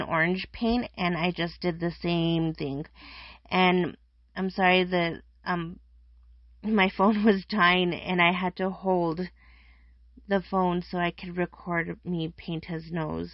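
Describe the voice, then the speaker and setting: She has an ordinary speaking voice. The woman talks at a fairly slow pace with a medium pitch. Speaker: craft youtuber. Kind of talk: tutorial. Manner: casual.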